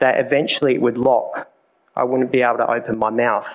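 A man with an Australian accent at medium pitch. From South Australia. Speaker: speaker giving a personal testimony at a church event. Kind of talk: testimony. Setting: live talk in a room with an audience.

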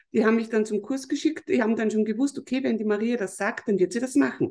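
With a dark, mellow tone, a woman speaks at a fairly quick pace in a fairly high pitch with lively intonation. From Lower Austria, Mostviertel. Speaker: business consultant. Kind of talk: podcast interview.

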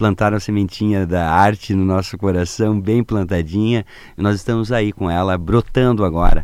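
This is a plain, everyday voice at a moderate pace. The intonation stays fairly even. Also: man. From southern Brazil, Paraná and Santa Catarina. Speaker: circus theatre clown and actor. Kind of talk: radio interview.

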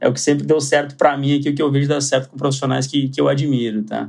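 With a Porto Alegre accent, a man talks very fast in a monotone, flat intonation at a fairly high pitch. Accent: gaúcho accent from Porto Alegre. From southern Brazil, Porto Alegre. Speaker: asset management executive. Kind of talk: podcast interview. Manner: halting, with frequent repetitions.

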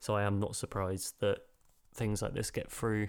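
A man with a British accent, fairly low in pitch and fairly quick in pace, on a very clean recording with a silent background. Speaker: film podcast co-host. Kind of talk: casual chat.

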